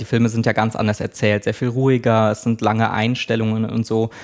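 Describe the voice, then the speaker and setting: A man speaks at medium pitch and a fairly quick pace, in a monotone, flat intonation. The recording is very clean, with a silent background. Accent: slight Mecklenburg. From Mecklenburg, Schwerin. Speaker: press officer of a film foundation. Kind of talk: interview.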